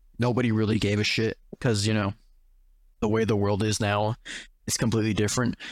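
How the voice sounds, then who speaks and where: On a very clean recording with a silent background, a man speaks at a medium pitch with a dry, close sound and no echo. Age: young. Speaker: podcast host. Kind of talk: casual chat.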